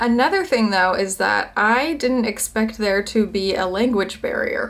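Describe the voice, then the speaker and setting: Noticeable background noise under a woman's fairly slow speech. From United States. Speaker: vlogger. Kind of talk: casual chat. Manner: animated.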